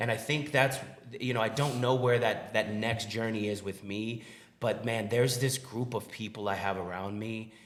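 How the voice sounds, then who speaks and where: Audible room echo surrounds a man speaking at a moderate pace. His medium-pitched voice keeps a fairly even intonation. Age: 40s. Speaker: restaurant owner. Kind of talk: podcast interview.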